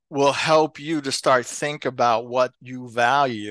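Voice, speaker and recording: A man with an American accent talks at a very slow pace in a fairly high voice with ordinary pitch variation. The background is quiet. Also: dry, close sound with no echo. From New Jersey, Elizabeth. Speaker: retired school superintendent and author. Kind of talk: interview. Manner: halting with fillers.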